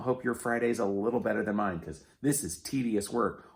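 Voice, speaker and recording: In a very clean recording with a silent background, a man talks with vocal fry. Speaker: YouTuber, vlogger. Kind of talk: casual vlog. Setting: at home, garage.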